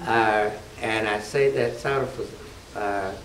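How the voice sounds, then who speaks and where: Noticeable background noise and audible room echo both surround a man's speech. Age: 70s. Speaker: church member giving diet testimonial. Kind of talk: testimony. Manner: halting.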